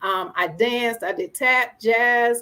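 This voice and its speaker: With a Southern US accent, a woman speaks at a fairly high pitch. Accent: Southern, country. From Springfield, Massachusetts. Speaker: entrepreneur and producer. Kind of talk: interview, life story.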